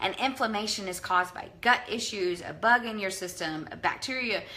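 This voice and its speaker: A woman at a medium pitch speaks with ordinary pitch variation amid noticeable background noise. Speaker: functional health practitioner. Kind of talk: live video talk. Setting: livestream. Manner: fast.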